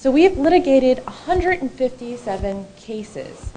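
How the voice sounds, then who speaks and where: A woman speaks at a moderate pace with very wide pitch swings. Noticeable background noise runs underneath. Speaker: attorney. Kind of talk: conference talk. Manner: loud. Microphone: too far from the mic.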